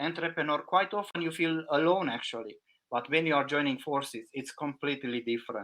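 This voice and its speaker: Talking at a fairly quick pace with a non-native accent, a man keeps a fairly high pitch with ordinary variation. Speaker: packaging consultant. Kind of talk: podcast interview.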